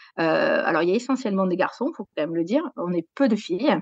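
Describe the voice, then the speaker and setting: This woman talks very fast with a southwestern French accent and very wide pitch swings. The sound is dry and close, with no echo. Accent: southwest French. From southwest France, Gers. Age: 40s. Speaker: sports journalist. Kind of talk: interview. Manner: hesitant, many fillers.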